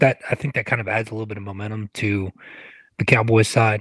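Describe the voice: With a dry, close sound and no echo, a man speaks fast at a fairly low pitch, his tone fairly bright and his intonation fairly even.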